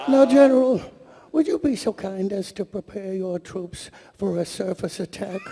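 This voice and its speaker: The man adopts a put-on character voice set high in pitch. His delivery keeps a moderate pace. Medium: stage play. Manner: gentle, polite.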